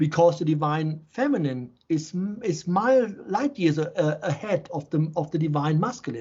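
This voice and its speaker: With a German accent, a man speaks at a moderate pace and with lively intonation. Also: fairly high pitch for a man. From Germany, Offenbach near Frankfurt. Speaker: shaman and healer. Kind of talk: interview conversation. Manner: halting, repetitive starts.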